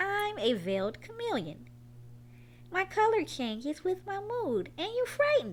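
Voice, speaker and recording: A woman does a put-on character voice at a moderate pace over clear background noise. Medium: read story.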